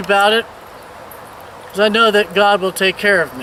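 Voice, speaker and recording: Amid noticeable background noise, a man with an American accent and a high pitch speaks at a moderate pace in a raised, projected voice. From Virginia, US. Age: 60s. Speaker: missionary. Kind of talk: video tour and personal testimony. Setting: outdoors.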